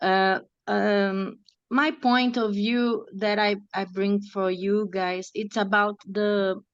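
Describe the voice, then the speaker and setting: Speaking with a non-native accent, a woman talks at a very slow pace with fairly even intonation. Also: medium pitch for a woman, quiet background. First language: not English. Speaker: seminar participant. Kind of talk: online seminar discussion. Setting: video call. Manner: halting.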